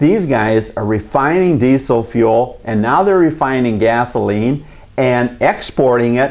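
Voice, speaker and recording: Speaking fairly slowly with an Upper Midwest accent, a man talks at medium pitch with ordinary pitch variation. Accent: Upper Midwest (Minnesota). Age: 60s. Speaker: community TV host. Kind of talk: opinion commentary to camera. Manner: halting, many fillers.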